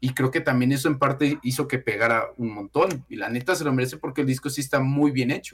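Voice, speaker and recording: A man speaks at a very fast pace, sounding somewhat breathy. His intonation stays fairly even. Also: medium pitch for a man. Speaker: music YouTuber. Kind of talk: casual chat.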